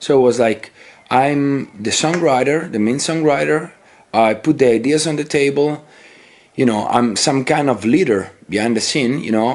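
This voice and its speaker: Here a man with an Italian accent speaks at a medium pitch with ordinary pitch variation. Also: moderate pace. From Italy. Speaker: metal musician. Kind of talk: interview. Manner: halting.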